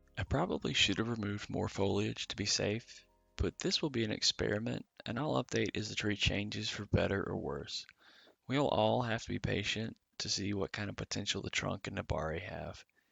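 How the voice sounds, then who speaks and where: A soft-spoken man with a calm, relaxed tone at a fairly quick pace, music playing in the background. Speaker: bonsai hobbyist youtuber. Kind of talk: tutorial narration.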